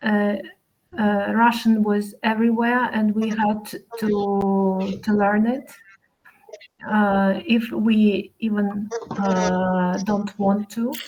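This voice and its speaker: Speaking at a very slow pace with long, frequent pauses, a woman with a Ukrainian accent keeps a medium pitch, a monotone, flat intonation and very even loudness. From Ukraine. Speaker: language course student. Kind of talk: casual chat. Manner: halting, many fillers.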